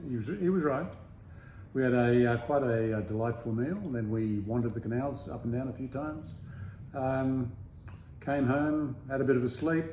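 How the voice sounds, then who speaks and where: Speaking at a moderate pace with long, frequent pauses, a man with an Australian accent has a medium-pitched, somewhat breathy voice with a dark, mellow tone and ordinary pitch variation, heard with audible room echo. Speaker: travel vlogger. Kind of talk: casual chat. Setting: apartment.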